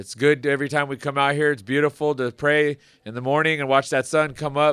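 A man's unremarkable speaking voice, fairly high in pitch, at a fairly quick pace, on a very clean recording with a silent background. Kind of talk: ceremony speech. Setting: outdoors.

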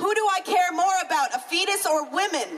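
Speaking in an extremely high pitch with fairly even intonation, a woman with an American accent is heard over noticeable background noise and audible room echo. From US South (Florida/Alabama). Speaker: activist organizer. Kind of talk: rally speech. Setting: outdoor rally.

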